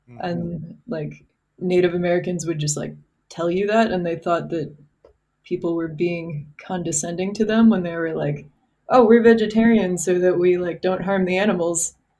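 A woman's dark, mellow tone, fairly low in pitch, with fairly even intonation and big swings in loudness. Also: moderate pace. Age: 20s. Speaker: former software engineer. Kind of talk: casual chat.

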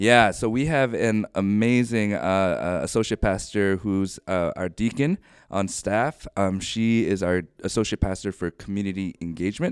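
An ordinary speaking voice from a man, fairly low in pitch, in a very clean recording with a silent background and a dry, close sound with no echo. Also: ordinary pitch variation, moderate pace. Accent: American. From Ohio, US Midwest. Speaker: pastor. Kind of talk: interview.

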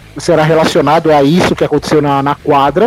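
Over background music, a man talks at a very fast pace. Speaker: podcast co-host. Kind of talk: casual chat. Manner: animated.

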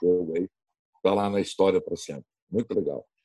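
A man talks at a moderate speed. The sound is dry and close, without echo. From Brazil, Rio Grande do Sul (Novo Hamburgo). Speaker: radio sports commentator. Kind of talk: casual interview. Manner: animated.

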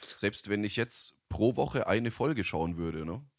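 This is a man speaking. His pitch moves in an ordinary way. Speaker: podcast co-host, voice-over artist. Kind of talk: casual chat.

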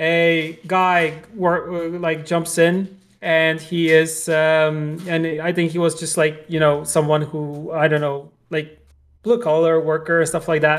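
A man with a Polish accent, a fairly high pitch, monotone, flat intonation and a very slow pace. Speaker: video game industry professional and podcast co-host. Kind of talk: casual chat.

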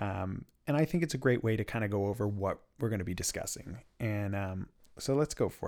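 A man's fairly low voice at a fairly quick pace, ordinary pitch movement, on a very clean recording with a silent background. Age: 20s. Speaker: podcast host. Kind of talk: casual solo monologue with reading aloud. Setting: home recording in a spinning leather chair. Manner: halting, many fillers.

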